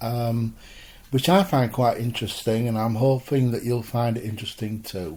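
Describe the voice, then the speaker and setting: At a moderate pace, the voice sounds somewhat breathy, with a dark, mellow tone. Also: man. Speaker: spiritualist minister. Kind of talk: spoken sermon talk.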